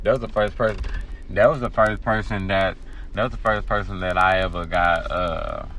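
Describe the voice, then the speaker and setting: A man speaks at a moderate pace with music in the background and audible room echo. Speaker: podcast host. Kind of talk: casual chat. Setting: live podcast. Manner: halting, many repeated words.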